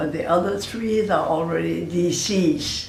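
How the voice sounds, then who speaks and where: A woman speaks with a very deep, low pitch. The room echo is audible, and background noise is noticeable. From Panama. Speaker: grandmother interviewee. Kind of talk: family oral history interview. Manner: halting, with fillers.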